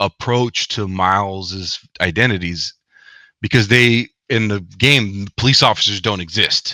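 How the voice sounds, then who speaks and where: A man with a Spanish accent speaks fairly slowly at a fairly low pitch, with ordinary pitch variation and a bright, sharp tone, in a dry, close sound with no echo. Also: very clean recording, silent background. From US, Mexican American family. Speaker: author and academic. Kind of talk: interview. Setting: livestream.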